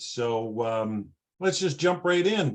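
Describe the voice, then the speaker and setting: A man speaks with a Canadian accent. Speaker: class moderator. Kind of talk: introduction. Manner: hesitant, many fillers.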